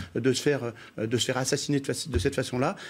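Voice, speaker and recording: Very fast male speech on a very clean recording against a silent background. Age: 60s. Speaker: local politician. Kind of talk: TV news debate. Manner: halting, many repetitions.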